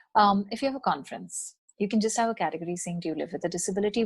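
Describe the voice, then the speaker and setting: Lively intonation marks this woman's somewhat breathy voice. Her pitch sits in the medium range. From India. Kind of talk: podcast interview.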